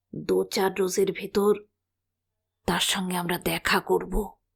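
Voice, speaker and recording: A woman uses a raspy, put-on character voice at a medium pitch. She talks at a fairly slow pace. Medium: read story. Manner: measured, slow, mixing Hindustani words.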